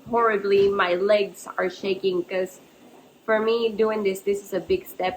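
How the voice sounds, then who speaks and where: A woman talks with a Spanish accent. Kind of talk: faith-based motivational talk. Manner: halting.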